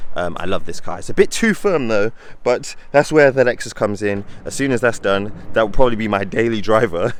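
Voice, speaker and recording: A man with a British accent, medium pitch, ordinary pitch variation and a fairly quick pace. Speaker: car YouTuber. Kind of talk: casual vlog narration.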